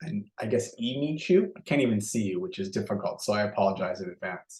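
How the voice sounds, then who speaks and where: A man with a Canadian accent talks at a very fast pace in a somewhat breathy voice at a medium pitch, his pitch swinging very widely. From Canada. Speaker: software company executive. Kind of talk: webinar presentation. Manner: lower energy than usual.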